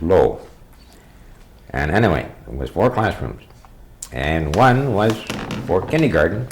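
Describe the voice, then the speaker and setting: A man with an American accent speaks at a moderate pace with a fairly low pitch and very wide pitch swings. Audible room echo and noticeable background noise surround his voice. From Bayfield, Wisconsin (US Upper Midwest). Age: 70s. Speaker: local elder telling oral history. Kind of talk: oral history interview. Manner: conversational, meandering with frequent fillers.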